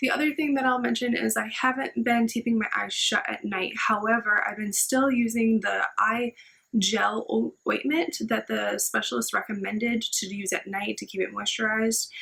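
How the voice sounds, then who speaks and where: A woman talks with hardly any pauses. Noticeable background noise runs behind her. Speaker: vlogger sharing health recovery. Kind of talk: personal vlog update. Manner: slow, careful pronunciation; casual, filler-heavy.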